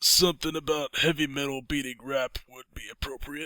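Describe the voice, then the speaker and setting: A man puts on a character voice with a fairly high pitch. His pace is moderate. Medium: audio drama.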